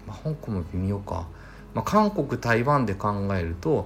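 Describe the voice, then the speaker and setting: A man talks in a somewhat breathy voice with very wide pitch swings. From Mie Prefecture, Japan (Suzuka). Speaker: podcast host, inbound marketing consultant. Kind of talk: solo podcast monologue. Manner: casual, thinking aloud.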